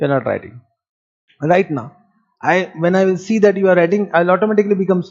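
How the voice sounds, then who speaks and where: The tone is animated and the pace very fast. Long pauses come often. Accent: Indian. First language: Marwari. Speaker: accounting teacher. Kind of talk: lecture. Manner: animated, rhetorical questioning.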